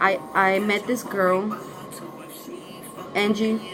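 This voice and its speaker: Over music in the background and audible room echo, a woman speaks at medium pitch with monotone, flat intonation. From northern Mexico. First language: Spanish. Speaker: YouTuber. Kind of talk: story time vlog. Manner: casual, halting.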